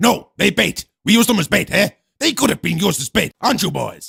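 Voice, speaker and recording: A man's put-on character voice, high-pitched with lively intonation, dry and close with no echo. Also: fairly quick pace. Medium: comedy sketch. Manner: impatient, broken English.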